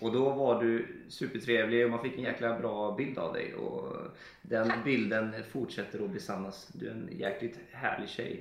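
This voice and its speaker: A man speaks at a medium pitch. Audible echo from the room surrounds his voice. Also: ordinary pitch variation, fairly slow pace. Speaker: podcast co-host. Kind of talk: casual chat.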